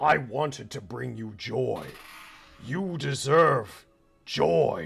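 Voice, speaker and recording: Over faint music in the background, a man in a put-on character voice growls at a very slow pace with a medium pitch. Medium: actual play. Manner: soft, coaxing.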